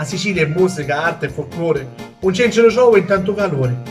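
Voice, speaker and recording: Backed by music, a man talks at a fairly quick pace with ordinary pitch variation. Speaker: poet reciting his own poems. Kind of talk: poetry reading.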